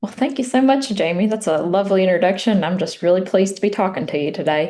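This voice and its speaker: With an Appalachian accent, a woman talks very fast in a dark, mellow tone, her medium-pitched voice carrying lively intonation. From US South, Appalachia (Southwest Virginia coal country). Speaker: memoir author. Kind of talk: interview. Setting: podcast interview.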